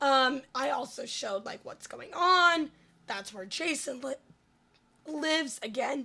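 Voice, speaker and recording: High-pitched, lively intonation in a woman's raised, projected voice. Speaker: gaming streamer. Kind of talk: gameplay voiceover. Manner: casual, filler-heavy.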